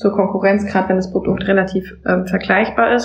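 A medium-pitched woman with fairly even intonation, set against noticeable background noise. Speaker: Amazon seller consultant. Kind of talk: casual chat.

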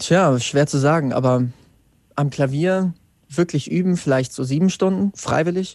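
A man with a plain, everyday voice speaks at a fairly slow pace and a fairly high pitch. His pitch varies in an ordinary way over a quiet background. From Germany, central Hesse (Wetzlar). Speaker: singer-songwriter. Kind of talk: interview.

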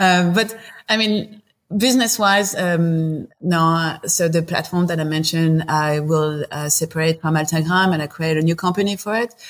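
A woman talks at a moderate pace with a fairly low pitch and ordinary pitch variation. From southern France, Marseille. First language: French. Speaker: company founder and CEO. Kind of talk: interview conversation. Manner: halting, many fillers.

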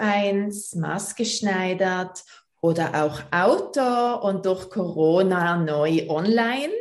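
In a Basel accent, a woman speaks at a very slow pace. Audible room echo surrounds her. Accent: Swiss German, Basel. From Switzerland, Basel. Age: 40s. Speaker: personal trainer. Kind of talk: interview.

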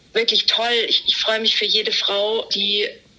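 A woman keeps a moderate pace while noticeable background noise sounds behind her. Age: 30s. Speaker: podcast guest, endometriosis patient. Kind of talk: casual interview. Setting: remote call from holiday.

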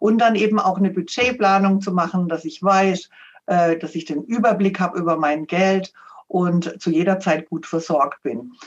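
At a moderate pace, a woman speaks in a normal speaking voice at medium pitch with ordinary pitch variation. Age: 60s. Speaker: financial adviser and author. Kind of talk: interview.

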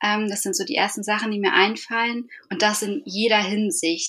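This woman has an unremarkable speaking voice at a fairly high pitch. She keeps a moderate pace. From northern Germany, Eckernförde (Schleswig-Holstein). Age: 30s. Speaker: podcast guest, bereaved mother. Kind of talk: casual interview.

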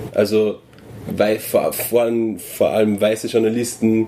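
Against noticeable background noise, a man with an Austrian accent speaks at a medium pitch. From Upper Austria, near Salzburg border. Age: 20s. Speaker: journalist. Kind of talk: casual chat. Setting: indoors at a venue.

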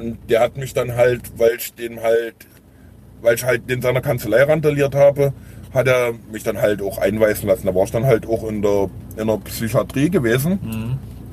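This man speaks at a medium pitch with ordinary pitch variation. His voice is somewhat breathy, and his pace is moderate. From Saxony, Dresden area. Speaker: formerly homeless man. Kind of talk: interview. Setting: in a car. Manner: halting.

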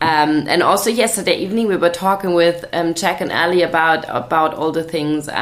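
A woman with a German accent speaks in a fairly low voice with ordinary pitch variation. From Germany, Swabia. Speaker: charity founder, podcast co-host. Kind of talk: casual chat.

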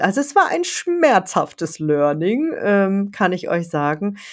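Her pace is very slow. The woman's voice sits at a medium pitch. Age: 50s. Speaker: writing coach and author. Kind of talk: solo podcast monologue. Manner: casual, chatty with fillers.

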